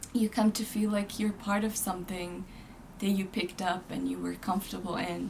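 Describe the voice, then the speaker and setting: A woman with a Jordanian accent, medium pitch, and monotone, flat intonation, at a moderate pace amid noticeable background noise. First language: Arabic. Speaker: graduate student. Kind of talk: interview.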